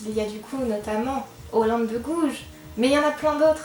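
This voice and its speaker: Over noticeable background noise and audible room echo, a woman talks at a moderate pace in a high voice with ordinary pitch variation. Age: young. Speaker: book youtuber. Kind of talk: casual vlog talk. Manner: hesitant, with fillers. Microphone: microphone problems.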